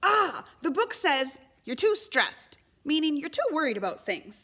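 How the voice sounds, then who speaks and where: Squeaky and extremely high-pitched, a woman's put-on character voice moves at a moderate pace with very wide pitch swings. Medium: read story. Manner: stuttering, nervous.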